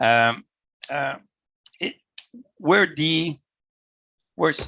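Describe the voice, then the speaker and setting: The pace is fairly slow as a man speaks. He talks at a medium pitch. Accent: Quebec. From Canada. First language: French. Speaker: volunteer motorsport official. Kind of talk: presentation to club over video call. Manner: halting, many repetitions.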